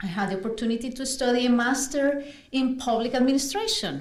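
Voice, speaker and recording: A woman with a Spanish accent at a moderate pace, amid noticeable background noise and audible room echo. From Colombia, Bogota. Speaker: navy officer and lawyer. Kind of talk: personal testimony.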